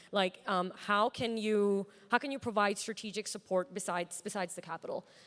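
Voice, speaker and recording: A woman with an American accent at medium pitch, fairly quick, with fairly even intonation, on a very clean recording with a silent background. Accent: American-sounding. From Pakistan. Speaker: startup founder. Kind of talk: panel discussion. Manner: halting, many fillers.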